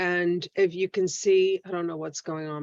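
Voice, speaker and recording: This woman has a normal speaking voice at medium pitch. She talks at a fairly slow pace. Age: 50s. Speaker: social media business coach. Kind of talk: online coaching class. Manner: conversational.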